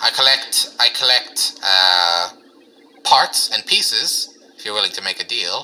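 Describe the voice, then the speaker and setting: A man in a put-on character voice, fairly slow, with long, frequent pauses. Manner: cheerful, businesslike, upselling.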